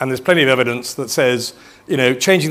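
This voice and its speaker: Over noticeable background noise, a man of medium pitch talks at a very fast pace. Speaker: futurist keynote speaker. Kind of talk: conference talk.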